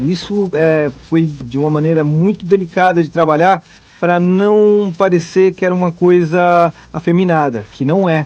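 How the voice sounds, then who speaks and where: In a high voice, a man speaks at a fairly slow pace. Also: ordinary pitch variation. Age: 30s. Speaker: voice actor. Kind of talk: interview.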